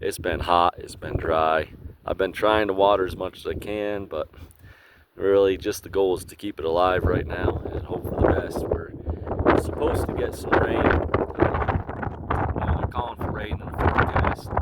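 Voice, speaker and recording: A man with a very deep, low pitch speaks at a fairly slow pace with fairly even intonation and big swings in loudness, against noticeable background noise. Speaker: homesteader vlogger. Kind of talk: casual video tour. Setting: outdoors. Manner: hesitant, many fillers. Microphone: poor audio.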